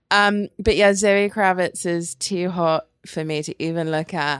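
This very clean recording has a silent background. A woman with an English accent speaks in a fairly low pitch with ordinary pitch variation. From England. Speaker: podcast co-host. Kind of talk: casual chat.

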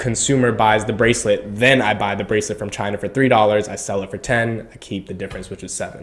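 A man talks in a normal speaking voice at a medium pitch and a fairly quick pace. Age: 20s. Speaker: podcast host. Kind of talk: interview.

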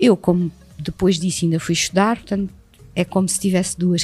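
Fairly even intonation and a moderate pace from a woman pitched fairly low. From Portugal, Setúbal. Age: 50s. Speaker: actress and acting teacher. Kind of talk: casual interview. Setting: recorded at a school.

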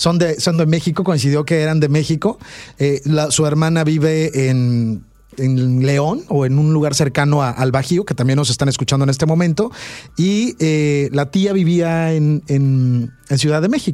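This man has a fairly high pitch and a dark, mellow tone. He talks at a fairly slow pace with very even loudness and ordinary pitch variation. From Veracruz, Mexico. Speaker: radio host. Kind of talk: radio interview, conversational. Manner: animated, warm.

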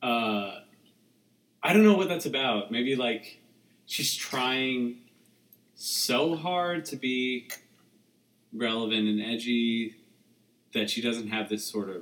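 A man of medium pitch with an American accent and lively intonation speaks at a very slow pace with long, frequent pauses over noticeable background noise. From suburban New Jersey. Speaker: guest. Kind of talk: casual chat.

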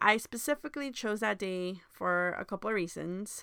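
With an American accent, a woman speaks fairly quickly at medium pitch in a bright, sharp tone. The recording is very clean, with a silent background. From Honduras, then Miami, Florida. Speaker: podcast host. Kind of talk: scripted monologue.

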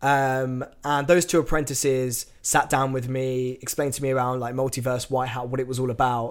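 Medium-pitched man with an English accent, monotone, flat intonation and a moderate pace, in a very clean recording with a silent background. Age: 20s. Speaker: tech company employee and agency owner. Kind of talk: casual interview.

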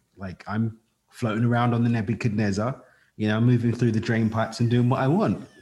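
A somewhat breathy, medium-pitched man with a London accent. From East London, England. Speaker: podcast host. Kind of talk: interview conversation.

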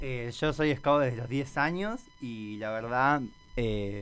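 A man with an ordinary speaking voice, medium in pitch, with ordinary pitch variation. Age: 20s. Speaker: scout program coordinator. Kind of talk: radio interview.

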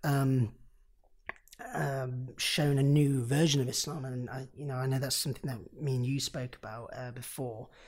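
A man with an East Midlands accent talks at a moderate pace and medium pitch. His voice is somewhat breathy, with fairly even intonation. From Nottingham, England. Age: 20s. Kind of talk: casual interview conversation.

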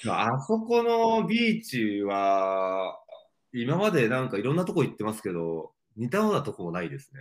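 At a moderate pace, a man with a medium pitch speaks with very wide pitch swings and big swings in loudness. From Japan, Mie Prefecture. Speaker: outdoor brand creative director and entrepreneur. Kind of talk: casual interview.

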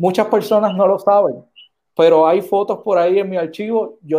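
A dark, mellow tone in a Puerto Rican accent. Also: man. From Puerto Rico. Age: 30s. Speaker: senate candidate. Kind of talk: political interview.

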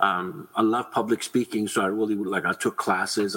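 A man's low voice, bright and sharp with a slightly husky edge, at a moderate pace.

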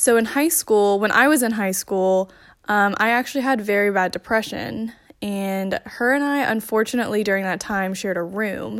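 In a very clean recording with a silent background, a woman talks at a moderate pace and medium pitch in an ordinary speaking voice with ordinary pitch variation. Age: 20s. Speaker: listener sending voice message. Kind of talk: recorded voice message.

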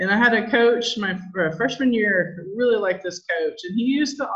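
At a moderate pace, a woman speaks in a plain, everyday voice with ordinary pitch variation. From Southern California. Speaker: insurance agency owner. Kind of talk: interview.

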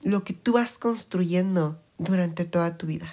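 A woman's somewhat breathy voice sits fairly low in pitch. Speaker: podcast host. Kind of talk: casual chat.

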